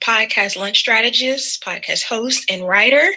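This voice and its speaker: In an American accent, a woman uses a raised, projected voice. Her tone is bright and sharp. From US South. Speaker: podcast strategist. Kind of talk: presentation.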